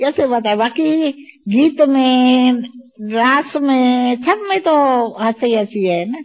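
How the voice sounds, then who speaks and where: At a very slow pace, a woman talks in a high voice. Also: lively intonation. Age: 70s. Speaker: spiritual elder sharing experiences. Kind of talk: interview testimony. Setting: spiritual retreat.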